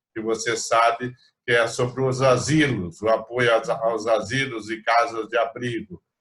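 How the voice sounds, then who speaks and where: Fairly slow delivery in an unremarkable speaking voice, with fairly even intonation. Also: man. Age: 60s. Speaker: rotary club president. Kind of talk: virtual meeting chat. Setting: video call.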